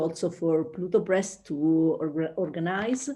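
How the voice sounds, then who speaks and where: A woman with an Italian accent and a dark, mellow tone. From Italy. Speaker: researcher. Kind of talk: webinar presentation. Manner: slow; halting.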